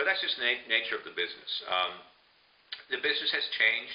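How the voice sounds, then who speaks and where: A man talks at a very fast pace with an American accent. Noticeable background noise is present. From Burbank, California, USA. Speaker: voiceover artist specializing in radio station imaging. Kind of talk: casual professional talk explaining the radio imaging business.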